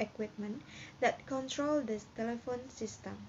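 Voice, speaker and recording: A woman speaks in a high pitch with ordinary pitch variation. Light background noise sits behind her. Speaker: presenter. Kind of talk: lecture.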